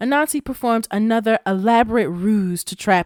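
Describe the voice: A plain reading out loud has ordinary pitch variation.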